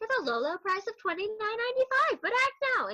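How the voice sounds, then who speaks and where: Putting on a character voice, a woman speaks in a bubbly tone at an extremely high pitch, with lively intonation and a fairly quick pace. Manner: salesy.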